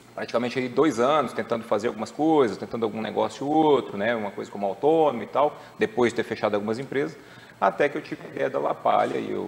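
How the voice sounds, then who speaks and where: Light background noise sits behind a man talking at a very fast pace. His intonation is lively. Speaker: guest. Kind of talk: interview answer. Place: studio. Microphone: lapel.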